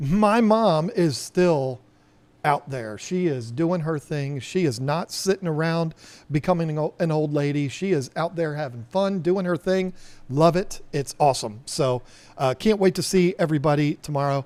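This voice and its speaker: A normal speaking voice from a man with an American accent, fairly high in pitch, at a moderate pace with ordinary pitch variation, on a very clean recording with a silent background. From Virginia, US. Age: 50s. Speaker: aquarium shop owner and live streamer. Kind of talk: live stream chat. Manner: casual, rambling with fillers.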